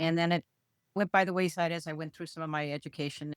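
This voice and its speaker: An unremarkable speaking voice moves at a fairly quick pace with fairly even intonation, in a dry, close, echo-free sound on a very clean recording with a silent background. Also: woman. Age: 60s. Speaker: knitter. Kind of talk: casual chat.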